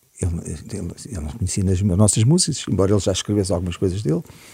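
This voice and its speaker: A man's very deep, low voice, dark and mellow in tone, somewhat breathy, with ordinary pitch variation. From Portugal (Cascais area, childhood partly in Africa). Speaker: musician. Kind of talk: interview chat.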